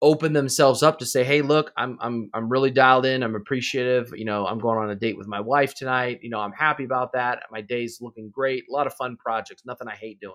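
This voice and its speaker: A man with an unremarkable speaking voice talks fairly quickly at medium pitch with hardly any pauses, big swings in loudness and ordinary pitch variation, on a very clean recording with a silent background. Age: 30s. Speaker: podcast host. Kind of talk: casual interview.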